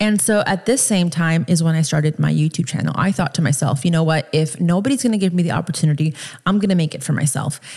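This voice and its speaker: An animated American-accented woman's voice, fairly low in pitch, with ordinary pitch variation, a very fast pace and hardly any pauses. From US East Coast and Miami. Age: 30s. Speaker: podcast host. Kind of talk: casual monologue.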